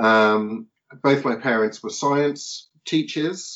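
This man speaks with a southern English accent. His intonation stays fairly even. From southern England (Portsmouth). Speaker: philosopher and author. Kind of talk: podcast interview.

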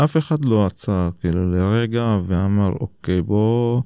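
A man speaks fairly slowly with a fairly low pitch. His tone is dark and mellow, with ordinary pitch variation. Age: 30s. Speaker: education official. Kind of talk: interview. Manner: hesitant with many fillers.

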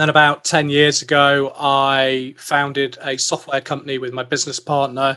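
A man's fairly high, monotone voice with flat intonation and a British accent, at a moderate pace with hardly any pauses. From UK. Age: 40s. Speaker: investor and tech executive. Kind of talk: casual interview.

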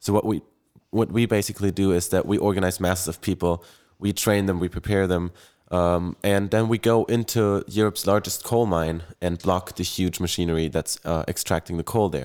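A man's very deep, low voice with a German accent, fairly quick and fairly even in intonation, on a very clean recording with a silent background. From Germany, Bonn. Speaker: climate activist. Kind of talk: panel discussion.

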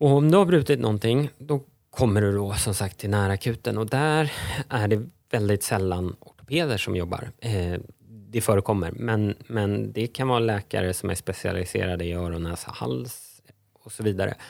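A man talks at a moderate pace in an ordinary speaking voice, pitched fairly low with lively intonation. The recording is very clean, with a silent background. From Stockholm, Sweden. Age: 40s. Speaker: lawyer and economist, entrepreneur. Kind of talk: podcast interview.

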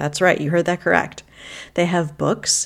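A woman speaks in a plain, everyday voice, fairly low-pitched with ordinary pitch variation. The recording is very clean, with a silent background. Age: 40s. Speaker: podcast host, decluttering coach. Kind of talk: solo podcast talk, advice.

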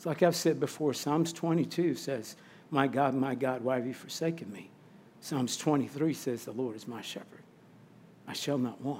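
With an American accent, a man speaks in a normal speaking voice, fairly high-pitched, with ordinary pitch variation, a fairly slow pace and big swings in loudness. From Missouri, St. Louis. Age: 50s. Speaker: chaplain and campus ministry barista. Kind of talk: testimony.

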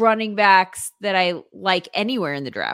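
On a very clean recording with a silent background, a woman talks in a normal speaking voice at a fairly slow pace with lively intonation. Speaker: sports broadcaster and fantasy football guest. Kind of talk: casual banter, sports chat.

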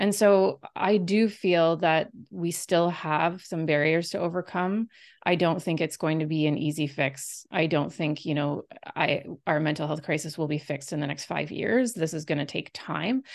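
The speech comes at a moderate pace over a quiet background. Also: woman, very deep, low pitch for a woman, ordinary pitch variation. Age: 40s. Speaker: health researcher and author. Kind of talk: interview.

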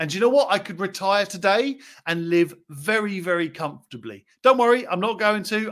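Animated male speech at a moderate pace, with ordinary pitch variation and a very clean recording over a silent background. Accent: English. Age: 40s. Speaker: property investor podcast host. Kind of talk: solo podcast monologue.

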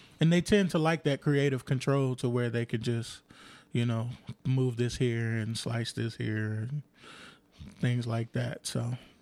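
A man with an American accent speaks at a fairly slow pace in a medium pitch with ordinary pitch variation, an unremarkable speaking voice. The recording is very clean with a silent background. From Compton, Los Angeles. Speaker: bass player. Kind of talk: casual chat. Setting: at home.

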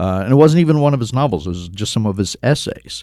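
A man with an American accent and a dark, mellow tone. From US Midwest (Cincinnati, Ohio). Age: 60s. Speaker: travel writer. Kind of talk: interview conversation.

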